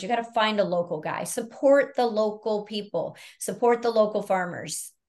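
A woman's unremarkable speaking voice, medium in pitch, with fairly even intonation, a moderate pace and a quiet background. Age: 50s. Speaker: naturopathic doctor. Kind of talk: interview.

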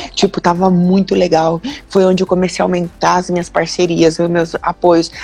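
A woman's medium-pitched voice at a moderate pace. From Londrina, Paraná, southern Brazil. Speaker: jiu-jitsu athlete. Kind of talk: interview on a live stream. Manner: casual, with frequent fillers.

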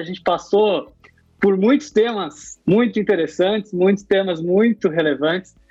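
Music in the background behind a man with a high pitch, a moderate pace and ordinary pitch variation. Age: 30s. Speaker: podcast host. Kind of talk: interview.

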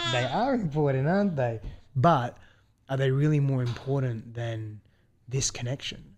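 Long, frequent pauses break up a man's speech. His voice is medium in pitch and somewhat breathy, with ordinary pitch variation and a moderate pace. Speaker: guest's husband, new father. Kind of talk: casual conversation.

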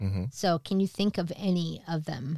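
With a New Jersey accent, a woman speaks at a fairly low pitch in a dry, close sound with no echo, on a very clean recording with a silent background. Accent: New Jersey, East Coast. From East Coast, went to high school in New Jersey. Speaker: podcast co-host, comedian. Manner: loud, brash, profane.

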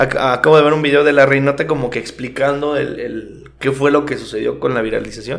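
With a Mexican accent, a man with a fairly high pitch talks very fast with hardly any pauses and fairly even intonation, his voice carrying audible room echo. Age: 20s. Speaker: podcast co-host. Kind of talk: casual chat.

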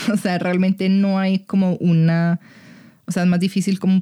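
The dark, mellow tone comes at a moderate pace, with a dry, close sound and no echo. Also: woman. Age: 20s. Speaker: sex educator. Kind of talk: casual chat.

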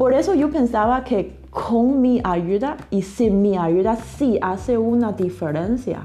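Talking at a very slow pace with a Chinese accent, a woman with a fairly high pitch uses lively intonation and very even loudness, with audible room echo around her. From China. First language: Chinese (speaking Spanish). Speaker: literary translator. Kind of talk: interview. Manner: halting, with fillers and repetitions.

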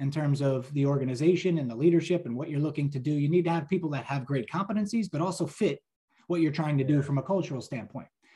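A dark, mellow voice with a somewhat breathy quality and an American accent. It moves at a very fast pace, with ordinary pitch variation. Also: man. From New Jersey, US. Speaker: pharmaceutical sales professional. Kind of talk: casual interview chat. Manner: filler-heavy, conversational.

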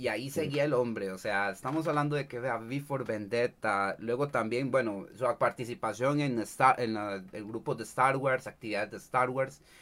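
A man talks at a moderate pace with a Costa Rican accent and hardly any pauses. His pitch is medium, with ordinary pitch variation. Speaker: streamer and cosplayer. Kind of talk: casual chat. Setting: livestream.

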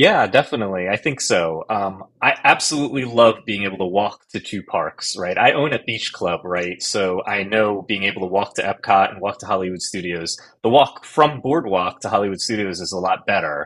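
At a moderate pace and with hardly any pauses, a man with a normal speaking voice and an American accent talks in a fairly low pitch with ordinary pitch variation. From New Jersey. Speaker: online group moderator. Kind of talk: casual chat.

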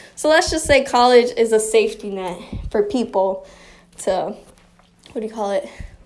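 With noticeable background noise behind her, a woman with an American accent speaks at a moderate pace and a fairly high pitch, using ordinary pitch variation and long, frequent pauses. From Chicago. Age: 20s. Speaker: podcast host. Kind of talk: casual monologue. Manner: rambling, sidetracking.

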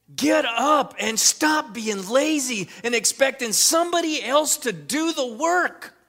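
A man speaks at an extremely high pitch in a raised, projected voice. He goes at a fairly slow pace yet hardly pauses. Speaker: pastor. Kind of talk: sermon. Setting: church. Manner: fervent, rousing, preacherly call-and-response; earnest, emphatic, repeating lines.

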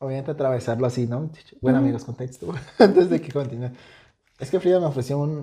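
This voice, in a Mexican accent, goes at a very fast pace. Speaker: podcast co-host. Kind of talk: casual chat.

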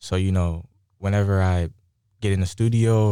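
A man with an American accent speaks at a moderate pace in a very deep, low voice with a dark, mellow tone. His intonation is monotone and flat, on a very clean recording with a silent background. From Southern California, Moreno Valley. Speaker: musician. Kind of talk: casual interview.

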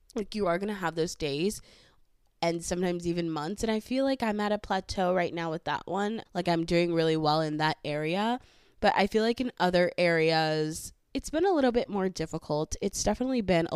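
A woman with a Southern Californian accent, fairly low in pitch with ordinary pitch variation, at a moderate pace, in a dry, close sound with no echo on a very clean recording against a silent background. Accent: Valley accent, California. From San Fernando Valley, California. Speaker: podcast host. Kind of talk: solo casual podcast monologue. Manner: casual, chatty, with fillers.

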